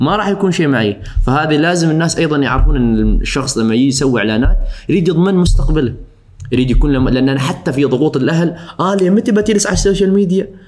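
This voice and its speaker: With very even loudness and lively intonation, a man speaks very fast at a fairly high pitch over noticeable background noise. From Oman, Al Suwaiq. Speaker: social media influencer. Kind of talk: casual interview. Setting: studio. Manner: forceful pronunciation of some words.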